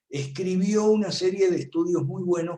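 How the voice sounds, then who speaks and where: A man at a fairly slow pace. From Argentina. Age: 70s. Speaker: political commentator. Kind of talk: lecture.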